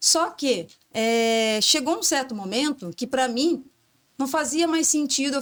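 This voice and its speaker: Heard in a very clean recording with a silent background, a woman speaks fairly slowly at a high pitch with lively intonation. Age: 40s. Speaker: entrepreneur, former industrial logistics professional. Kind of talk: interview conversation. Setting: podcast studio.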